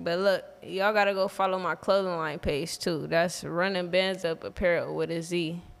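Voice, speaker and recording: A woman talks in a fairly low pitch with hardly any pauses. Her intonation is flat and monotone. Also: moderate pace. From Los Angeles. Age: 20s. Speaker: musician and reality TV cast member; podcast guest. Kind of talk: casual chat; casual podcast chat, self-promotion. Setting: studio. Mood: relaxed, casual. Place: studio. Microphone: studio mic.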